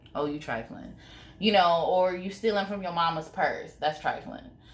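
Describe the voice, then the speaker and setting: With audible room echo, a woman speaks in an animated tone at a moderate pace, using lively intonation and vocal fry at a fairly low pitch. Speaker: YouTuber. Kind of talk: casual vlog commentary.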